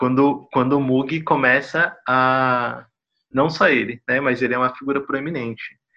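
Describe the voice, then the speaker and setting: At a fairly slow pace, a man speaks at a medium pitch in a monotone, flat intonation, keeping his loudness very even. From São Paulo, Brazil. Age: 30s. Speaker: electronic music artist and researcher. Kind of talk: casual discussion. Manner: halting, many fillers.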